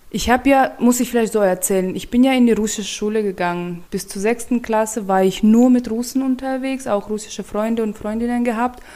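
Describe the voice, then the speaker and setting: Over noticeable background noise, a woman talks at a fairly quick pace with hardly any pauses and a fairly high pitch. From Turkmenistan, capital city. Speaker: colleague at an intercultural prevention organisation. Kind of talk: casual chat.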